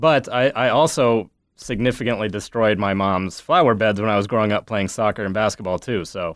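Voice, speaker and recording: A man with an American accent speaks at a fairly quick pace with hardly any pauses, his pitch fairly low. His pitch variation is ordinary, and it is an unremarkable speaking voice. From US Midwest, Ames, Iowa. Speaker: litigant, nonprofit network assistant director. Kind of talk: casual chat.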